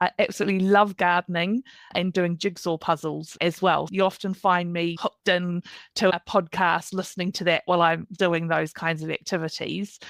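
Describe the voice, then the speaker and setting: On a very clean recording with a silent background, a woman in a New Zealand accent speaks at a moderate pace in a fairly low pitch with monotone, flat intonation. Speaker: career coach. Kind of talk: podcast interview. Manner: conversational.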